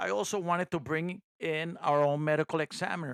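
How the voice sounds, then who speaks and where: A man with a non-native accent talks at a fairly high pitch. The recording is very clean and dry, close with no echo, over a silent background. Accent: noticeable non-native. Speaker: private investigator and podcast host. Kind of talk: first-person true crime narration. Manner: sometimes poorly enunciated.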